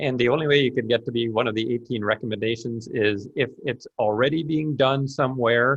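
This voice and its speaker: A man speaks at a moderate pace with a Canadian accent. His voice is somewhat breathy. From Canada. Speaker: author and business professor. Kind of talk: webinar Q&A. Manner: halting, many repetitions.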